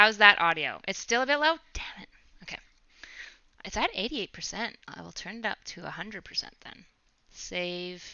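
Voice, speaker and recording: A soft-spoken woman with a fairly high pitch, lively intonation, a moderate pace, long and frequent pauses, and big swings in loudness. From Canada. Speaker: streamer. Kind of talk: casual livestream chat. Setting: livestream with headset mic.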